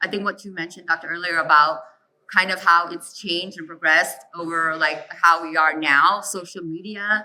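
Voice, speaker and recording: She has a normal speaking voice and a medium pitch. The woman speaks at a moderate pace with fairly even intonation. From US, child of immigrant family. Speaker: panelist. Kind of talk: panel discussion.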